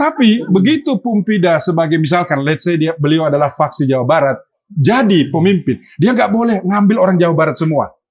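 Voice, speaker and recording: Fairly quick, high-pitched male speech with very even loudness and hardly any pauses. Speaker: political party official. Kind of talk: casual chat.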